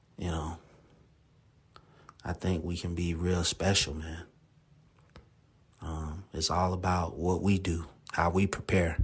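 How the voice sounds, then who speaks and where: A man's very deep, low, somewhat breathy voice, monotone and flat, at a fairly slow pace with long, frequent pauses. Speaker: sports podcast host. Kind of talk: solo podcast monologue. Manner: casual, filler-heavy.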